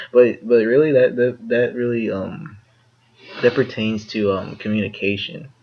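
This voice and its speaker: A man at a medium pitch, moderate pace, and ordinary pitch variation. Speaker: podcast co-host. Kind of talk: casual chat. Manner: halting, many fillers and repeats. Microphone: poor audio quality.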